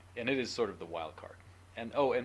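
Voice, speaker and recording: A man mumbling, somewhat breathy, with audible room echo. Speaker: university professor. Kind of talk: lecture. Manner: fast.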